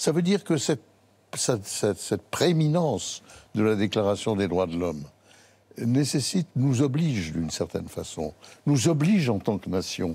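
Speaking at a moderate pace with long, frequent pauses, a man uses a medium-pitched voice with a dark, mellow tone and very wide pitch swings. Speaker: lawyer. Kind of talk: TV panel discussion. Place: studio. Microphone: lapel.

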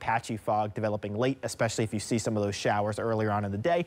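A man talking at a very fast pace. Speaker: TV weather forecaster. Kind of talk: TV weather forecast. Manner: fluent, upbeat, brisk. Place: studio. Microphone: lapel.

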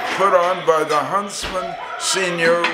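A high-pitched man at a very slow pace with fairly even intonation, over noticeable background noise. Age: 90s. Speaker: entertainment publicist. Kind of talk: interview answer. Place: kitchen. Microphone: phone near.

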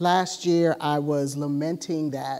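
Very slowly, a woman speaks in a flat monotone, her pitch very deep and low and her tone dark and mellow. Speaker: preacher. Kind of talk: sermon. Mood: somber, personal grief. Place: church. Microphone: lapel.

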